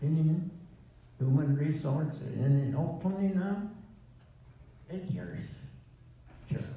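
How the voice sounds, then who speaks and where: Amid strong room echo, a man with a fairly high pitch and ordinary pitch variation speaks at a very slow pace, leaving long, frequent pauses. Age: 80s+. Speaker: war veteran. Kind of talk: interview answer. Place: hall.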